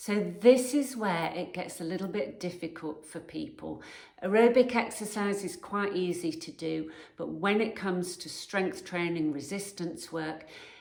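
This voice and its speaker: Against noticeable background noise, a woman of medium pitch speaks at a fairly slow pace with ordinary pitch variation and big swings in loudness. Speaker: personal trainer. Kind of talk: fitness advice talk to camera.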